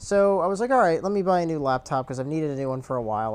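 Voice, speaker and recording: Mumbling, a man talks with ordinary pitch variation. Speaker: gamer and video commentator. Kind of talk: casual chat. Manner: stutters and mumbles; uses many fillers.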